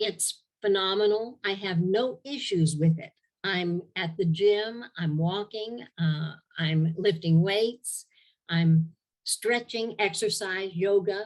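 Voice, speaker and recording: At a very slow pace, a woman speaks in a medium pitch with ordinary pitch variation. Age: 70s. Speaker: testimonial giver. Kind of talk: testimony. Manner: halting.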